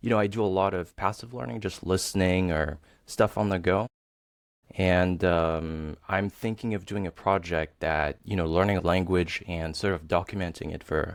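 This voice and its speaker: A man with a French accent speaks at a moderate pace, with a very deep, low pitch and ordinary pitch variation. The recording is very clean, with a silent background. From Tahiti, French Polynesia. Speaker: software developer, language learner. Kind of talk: interview. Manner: hesitant, many fillers.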